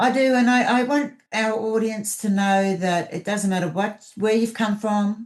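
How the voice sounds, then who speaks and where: Speaking at a fairly slow pace with an Australian accent, the voice shows ordinary pitch variation. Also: woman, fairly high pitch for a woman. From Australia, mid north coast of New South Wales. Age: 50s. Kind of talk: podcast interview.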